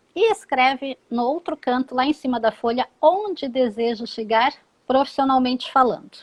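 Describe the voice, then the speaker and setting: Recorded with a dry, close sound with no echo, a woman speaks at a high pitch with ordinary pitch variation. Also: moderate pace. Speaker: psychologist and career advisor. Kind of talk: live interview, career advice. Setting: live stream. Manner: instructive, explanatory.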